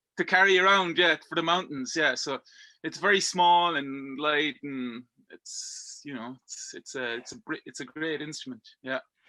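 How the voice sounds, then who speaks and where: A man with a strong Irish accent speaks at a moderate pace in a bright, sharp tone, his pitch fairly high with ordinary variation and big swings in loudness. The recording is very clean, with a silent background and a dry, close sound with no echo. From Belgium. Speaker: rock climber. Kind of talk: casual interview chat. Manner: halting, many repetitions and fillers.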